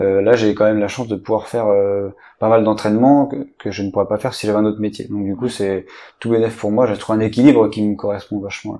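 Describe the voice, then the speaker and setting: Against a quiet background, a man talks at a very fast pace. His tone is dark and mellow, and his intonation is monotone and flat. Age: 30s. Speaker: archer. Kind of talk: interview. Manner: halting.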